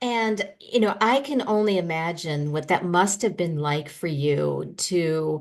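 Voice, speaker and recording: With a plain, everyday voice, a woman speaks at a fairly slow pace with a fairly low pitch and lively intonation against a quiet background. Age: 50s. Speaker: podcast host. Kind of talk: interview.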